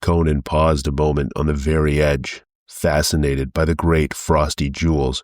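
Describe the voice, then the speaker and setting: In a put-on character voice, a man speaks fairly slowly with a very deep, low pitch. The recording is very clean, with a silent background. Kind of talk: pulp adventure reading. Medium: read story.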